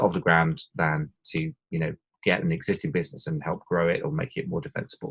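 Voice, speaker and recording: Speaking at a fairly quick pace, a man talks with an English accent. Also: dry, close sound with no echo. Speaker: e-commerce consultant and podcast host. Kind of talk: podcast interview. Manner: hesitant, with many fillers.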